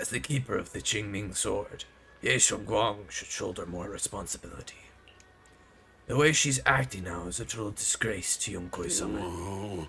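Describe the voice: Raspy, put-on character voice from a man, fairly low in pitch, at a moderate pace.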